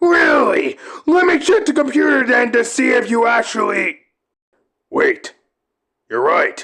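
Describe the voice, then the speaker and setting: A man's put-on character voice at an extremely high pitch, fairly slow, with long, frequent pauses. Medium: audio drama. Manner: angry, shouting, profane.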